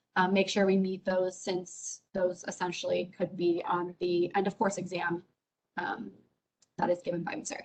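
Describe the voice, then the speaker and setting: At a moderate pace, the speaker talks in a plain, everyday voice. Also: woman. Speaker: teacher. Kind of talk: teacher training webinar.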